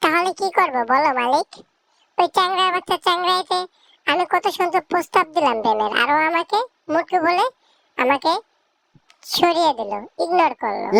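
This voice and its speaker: A woman's squeaky, cartoonish character voice at an extremely high pitch. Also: moderate pace. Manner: brash, insulting, boastful.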